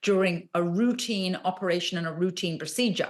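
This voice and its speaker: Against a quiet background, a woman with a British accent speaks at a moderate pace. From England. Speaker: royal expert. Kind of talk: interview answer, news commentary.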